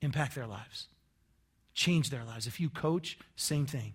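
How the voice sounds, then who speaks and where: An American accent marks this man's somewhat breathy voice. He uses lively intonation at a moderate pace. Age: 40s. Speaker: pastor. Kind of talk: sermon. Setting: church. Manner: conversational.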